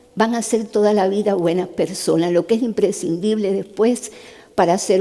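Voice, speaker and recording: A woman talks at a moderate pace in a dark, mellow tone, with ordinary pitch variation. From Cuba. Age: 70s. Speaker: neurosurgeon giving a talk. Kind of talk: testimony talk. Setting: stage with audience. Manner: conversational.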